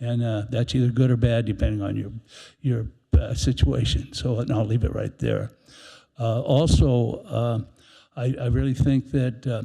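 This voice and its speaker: Somewhat breathy, a man talks at a moderate pace with a dark, mellow tone. His medium pitch shows ordinary pitch variation. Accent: American. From US West Coast, Southern California. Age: 80s+. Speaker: public commenter at city meeting. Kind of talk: public comment. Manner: halting, many fillers and repeats.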